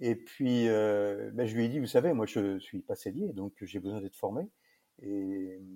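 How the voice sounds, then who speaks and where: The voice has a dark, mellow tone, ordinary pitch variation and a moderate pace. The recording is very clean, with a silent background and a dry, close sound with no echo. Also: man. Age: 60s. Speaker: saddlery business owner. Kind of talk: interview. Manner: hesitant, many fillers.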